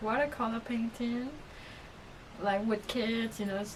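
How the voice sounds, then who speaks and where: A woman's fairly high voice, fairly even in intonation, over noticeable background noise. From Myanmar. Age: 20s. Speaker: artist. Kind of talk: personal vlog. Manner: halting.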